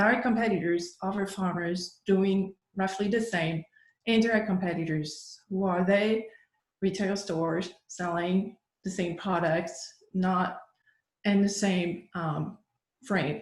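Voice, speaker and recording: A woman speaks at a medium pitch and a fairly slow pace, somewhat breathy. Her speech has long, frequent pauses. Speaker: workshop presenter on agricultural marketing. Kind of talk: lecture.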